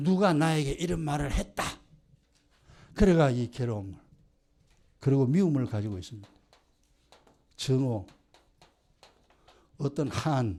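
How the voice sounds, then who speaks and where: Speaking at a fairly slow pace with long, frequent pauses, a man uses lively intonation, a fairly high pitch and a dark, mellow tone. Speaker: pastor. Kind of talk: sermon. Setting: church. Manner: animated.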